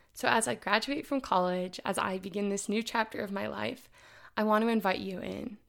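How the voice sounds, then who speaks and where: A woman speaks with a Midwestern American accent. The recording is very clean with a silent background. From Indianapolis, Indiana, US Midwest. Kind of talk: casual solo podcast monologue. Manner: upbeat, enthusiastic.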